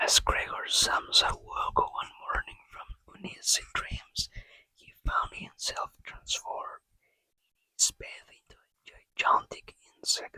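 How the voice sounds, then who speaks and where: A very slow, whispered delivery. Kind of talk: ASMR book reading. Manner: soft-spoken.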